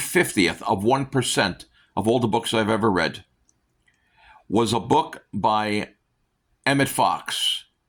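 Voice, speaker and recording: A man's very slow delivery with long, frequent pauses, very even loudness and ordinary pitch variation. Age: 60s. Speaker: self-help book vlogger. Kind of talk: casual monologue. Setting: at home on a couch. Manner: halting, many fillers.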